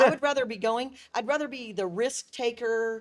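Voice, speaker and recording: On a very clean recording with a silent background, a woman with a fairly high pitch speaks in an unremarkable speaking voice with ordinary pitch variation. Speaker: tourism bureau CEO. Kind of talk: interview.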